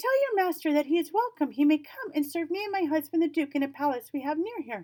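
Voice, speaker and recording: A woman puts on a squeaky character voice at an extremely high pitch. She talks very fast with lively intonation. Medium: read story. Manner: gracious, sweet.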